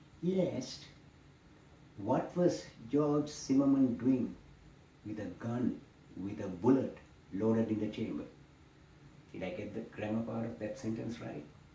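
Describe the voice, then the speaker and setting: Over noticeable background noise and audible room echo, a man speaks fairly slowly with lively intonation, big swings in loudness and long, frequent pauses. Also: medium pitch for a man. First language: not English. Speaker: political commentator. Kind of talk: political monologue.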